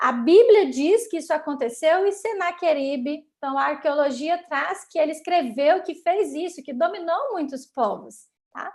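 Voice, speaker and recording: A woman's high-pitched voice with lively intonation at a fairly slow pace. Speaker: Sabbath school teacher. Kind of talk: Bible lesson teaching.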